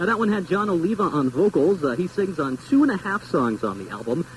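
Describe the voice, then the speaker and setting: With an American accent, a man talks very fast at a high pitch with very wide pitch swings over noticeable background noise. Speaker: radio DJ. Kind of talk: radio show host patter.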